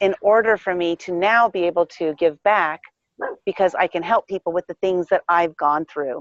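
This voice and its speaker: A woman with a normal speaking voice, medium pitch, lively intonation and a moderate pace. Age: 50s. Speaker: life coach and entrepreneur. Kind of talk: interview.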